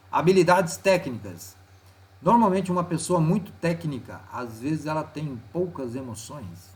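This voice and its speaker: Very wide pitch swings run through this man's somewhat breathy voice. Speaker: teacher. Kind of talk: tutorial. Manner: casual.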